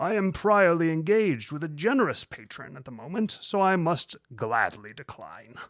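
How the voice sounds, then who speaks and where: A man puts on a character voice, pitched high with very wide pitch swings and big swings in loudness. He keeps a moderate pace on a very clean recording with a silent background. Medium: read story. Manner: courteous, measured.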